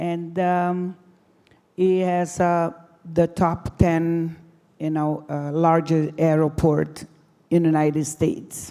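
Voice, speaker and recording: A woman with a non-native accent speaks at a very slow pace, with long, frequent pauses. Her fairly low, dark, mellow voice stays monotone and flat. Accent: foreign. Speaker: deputy mayor. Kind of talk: conference presentation. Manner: halting.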